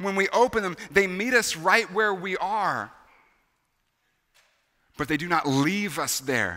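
A raised, projected voice with a bright, sharp tone and ordinary pitch variation, set against a quiet background. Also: man. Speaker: pastor. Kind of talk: sermon. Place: church. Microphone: headset.

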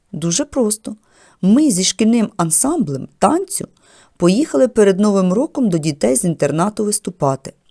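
The speaker uses a natural reading voice. Each line is delivered that way throughout.

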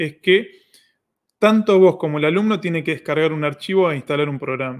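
Speaking at a moderate pace with a Rioplatense accent, a man uses a high-pitched voice over a quiet background. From Argentina. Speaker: online course platform host. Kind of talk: live Q&A stream. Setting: livestream. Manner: animated. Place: home room.

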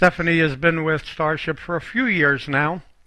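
A man's fairly high, bright, sharp voice at a fairly slow pace, on a very clean recording with a silent background. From Boston. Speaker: talk show host and moderator. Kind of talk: casual panel discussion. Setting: studio. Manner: enthusiastic.

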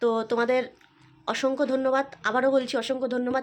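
This voice belongs to a woman. Her pitch is high. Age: 40s. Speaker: vlogger and shopkeeper. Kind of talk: casual vlog.

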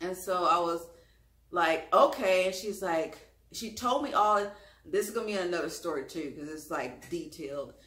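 In a Louisiana accent, a woman speaks at a moderate pace with audible room echo. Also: ordinary pitch variation. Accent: Southern US, Louisiana. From US South, Louisiana. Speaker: YouTube vlogger. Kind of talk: storytelling, personal story time to camera. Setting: home video, solo to camera. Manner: conversational, chatty. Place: home room. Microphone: camera far.

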